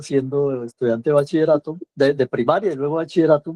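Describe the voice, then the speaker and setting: Fairly high-pitched, a man talks at a fairly quick pace with a dark, mellow tone and fairly even intonation. The sound is dry and close, with no echo. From Colombia, Valle del Cauca (Cali). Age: 60s. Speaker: cultural journalist and writer. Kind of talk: interview.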